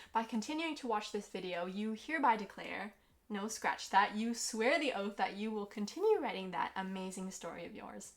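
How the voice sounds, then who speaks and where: A woman uses a normal speaking voice, fairly high in pitch, and keeps to a moderate pace. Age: 20s. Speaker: author. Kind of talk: casual talk to camera.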